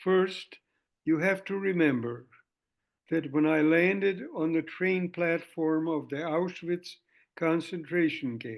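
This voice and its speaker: A man speaks at a very slow pace. His fairly high voice has fairly even intonation. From Hungary. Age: 90s. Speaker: Holocaust survivor. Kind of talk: talk to students.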